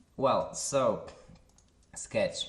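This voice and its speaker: A man is speaking. His pace is very slow. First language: Polish. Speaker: software tutorial creator. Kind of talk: tutorial. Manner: halting, with filler sounds.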